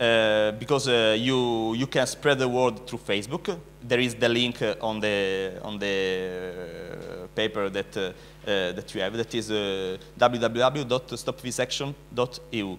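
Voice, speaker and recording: In an Italian accent, a man speaks at medium pitch with ordinary pitch variation. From Italy. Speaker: animal rights activist. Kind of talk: conference speech. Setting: conference stage with audience. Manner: halting, many fillers.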